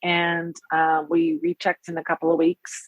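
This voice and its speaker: A woman's ordinary speaking voice, with lively intonation at a moderate pace. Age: 40s. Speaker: transplant coordinator. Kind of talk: casual chat.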